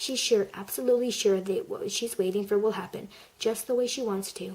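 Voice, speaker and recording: Soft-spoken and fairly high-pitched, a woman talks at a fairly quick pace over noticeable background noise. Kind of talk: audiobook-style reading of a story.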